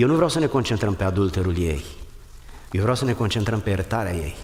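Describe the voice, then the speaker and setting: A man with a fairly low pitch and ordinary pitch variation talks at a very fast pace in a room with audible echo. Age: 60s. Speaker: pastor. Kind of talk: sermon.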